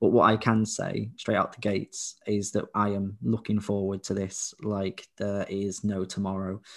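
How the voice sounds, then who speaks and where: In a very clean recording with a silent background, a man speaks at a fairly low pitch in a flat monotone. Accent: English. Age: 20s. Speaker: podcast co-host, visually impaired father. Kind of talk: casual chat.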